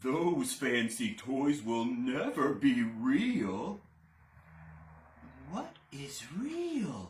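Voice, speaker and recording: A man's put-on character voice, fairly high in pitch, at a very slow pace with long, frequent pauses. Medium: read story. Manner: slow, gentle, wise.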